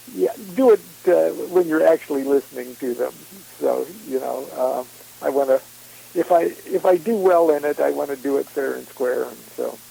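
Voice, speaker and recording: A man talks at a moderate pace with long, frequent pauses. The sound is dry and close with no echo, and noticeable background noise is present. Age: 60s. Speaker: occult author and speaker. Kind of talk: casual interview chat. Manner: halting, many fillers.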